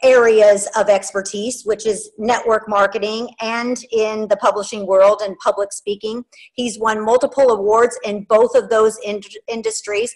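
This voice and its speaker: A woman speaks at a fairly slow pace in a monotone, flat delivery. The background is quiet. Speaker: show host. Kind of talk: interview host introduction. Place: home room. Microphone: video call.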